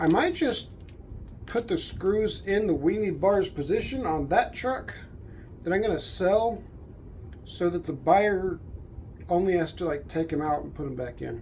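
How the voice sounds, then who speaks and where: A woman with a medium pitch and a dark, mellow tone uses lively intonation at a fairly slow pace. Long, frequent pauses break her speech, and the room echo is audible. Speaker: RC car youtuber. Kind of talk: unboxing video. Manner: soft-spoken; thinking aloud, casual.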